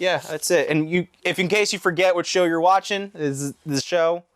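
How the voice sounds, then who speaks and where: Recorded dry and close with no echo, a man with a New Jersey accent speaks at a moderate pace. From central New Jersey, US. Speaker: podcast co-host. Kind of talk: casual comedic chat.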